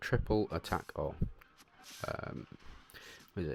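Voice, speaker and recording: A man speaks quietly at a fairly slow pace with music in the background. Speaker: gaming video creator. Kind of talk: gameplay commentary. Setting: on holiday, home recording. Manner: hesitant, many fillers.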